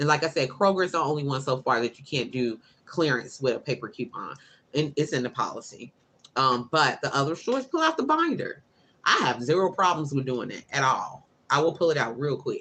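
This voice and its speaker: Loud and fairly quick, a woman speaks with a bright, sharp tone. Her pitch is very deep and low, with ordinary pitch variation. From Chicago, US Midwest. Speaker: couponing youtuber. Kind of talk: live stream chat. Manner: animated.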